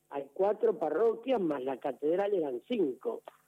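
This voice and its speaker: A man speaks at a high pitch in a Rioplatense accent. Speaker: parish priest. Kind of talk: radio interview. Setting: phone call. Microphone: telephone line.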